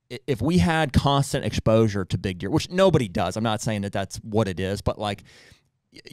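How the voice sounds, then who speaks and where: A man's medium-pitched voice with lively intonation and a Pennsylvania accent, dry with no echo, over a quiet background. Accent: Pennsylvania American. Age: 30s. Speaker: hunting podcast host. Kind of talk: casual chat. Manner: halting. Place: studio. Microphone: studio mic.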